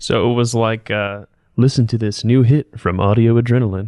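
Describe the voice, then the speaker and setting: A man's normal speaking voice at a medium pitch and moderate pace, with fairly even intonation against a quiet background. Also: dry, close sound with no echo. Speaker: voice actor. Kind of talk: casual interview answer.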